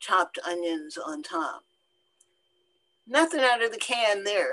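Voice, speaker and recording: A woman's bright, sharp tone carries lively intonation. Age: 70s. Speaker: seed saver and author. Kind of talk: lecture Q&A.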